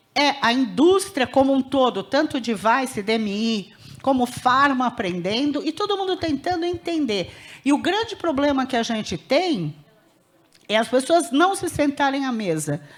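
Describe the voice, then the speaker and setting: A woman's high-pitched voice at a fairly slow pace, with very wide pitch swings over noticeable background noise. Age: 60s. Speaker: healthcare auditor. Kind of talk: panel discussion at conference.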